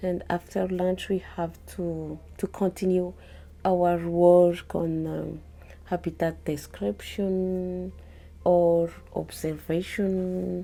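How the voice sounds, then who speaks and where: At a very slow pace, a woman speaks with a Malagasy accent. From Madagascar. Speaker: field biologist. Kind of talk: interview. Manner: halting.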